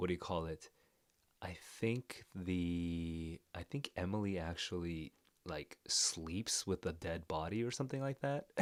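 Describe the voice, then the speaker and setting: A man talks quietly with a very deep, low pitch and ordinary pitch variation. The sound is dry and close, with no echo. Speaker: literature reader reacting to a story. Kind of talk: live reading reaction. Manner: quiet indoor voice; hesitant, many fillers.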